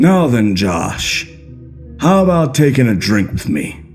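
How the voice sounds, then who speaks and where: Over clear music in the background, a man does a raspy put-on character voice at medium pitch, with very wide pitch swings and a fairly slow pace. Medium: read story. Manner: wry, measured, with a hidden temper.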